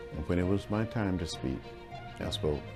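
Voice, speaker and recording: Music plays behind a man talking at a fairly quick pace with lively intonation. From Alabama, USA. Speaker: politician, civil rights leader. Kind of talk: interview answer.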